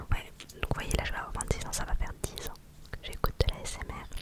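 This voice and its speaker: Noticeable noise hums in the background. Over it, a woman whispers. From Normandy, France. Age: 20s. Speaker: ASMR creator. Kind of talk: casual chat. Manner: whispering; soft-spoken.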